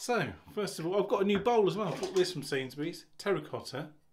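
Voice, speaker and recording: Here a man speaks at a fairly quick pace with ordinary pitch variation. Noticeable background noise runs under his voice. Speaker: shaving vlogger. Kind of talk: casual vlog chat. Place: bathroom.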